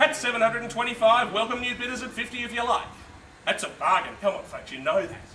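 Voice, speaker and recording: A man's extremely high-pitched, raised, projected voice, upbeat in tone and very fast, over noticeable background noise. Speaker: real estate auctioneer. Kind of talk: live property auction call. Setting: outdoors at a live auction, addressing a crowd. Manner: fast, rhythmic bid-calling, upbeat and persuasive.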